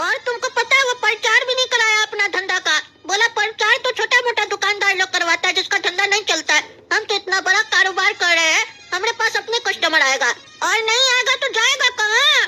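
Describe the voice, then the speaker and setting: A cartoonish character voice at an extremely high pitch comes through over clear background noise. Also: fairly quick pace. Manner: cocky, mocking.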